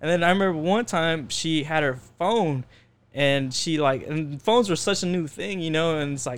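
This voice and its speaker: Recorded very cleanly over a silent background, a man of fairly high pitch speaks in an unremarkable speaking voice at a moderate pace with ordinary pitch variation. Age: 20s. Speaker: photographer. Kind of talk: casual chat.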